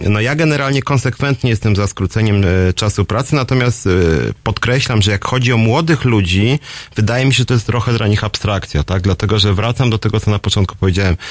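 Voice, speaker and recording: This man talks at a very fast pace in a fairly low pitch. His loudness stays very even, and his pitch varies in an ordinary way. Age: 40s. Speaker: radio host and trade union leader. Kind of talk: radio call-in show, solo commentary.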